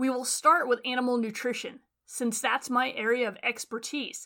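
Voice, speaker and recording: In a very clean recording with a silent background, a woman with a Western US accent speaks at a moderate pace in a high-pitched, bright, sharp tone. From Western Nevada. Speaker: animal science professor. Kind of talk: scripted narration.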